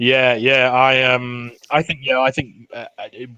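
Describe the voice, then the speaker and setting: A man with a Geordie accent has a bright, sharp tone at a medium pitch. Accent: Geordie (Newcastle). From northeast England, Newcastle. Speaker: NFL podcast guest, sports fan. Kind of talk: casual chat. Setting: podcast recording.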